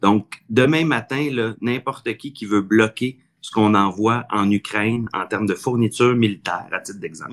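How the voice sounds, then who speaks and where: A man with a fairly low pitch speaks at a fairly slow pace in a normal speaking voice, with ordinary pitch variation. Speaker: city mayor. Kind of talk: podcast interview.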